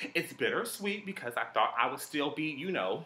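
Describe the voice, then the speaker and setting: This is a man's voice. His intonation is lively. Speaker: vlogger. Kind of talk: casual vlog chat. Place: home room.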